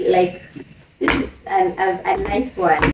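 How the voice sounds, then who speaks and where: With noticeable background noise behind her, a woman speaks at a very slow pace. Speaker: YouTuber, mother. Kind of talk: unboxing haul video, casual. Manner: chatty, with frequent fillers.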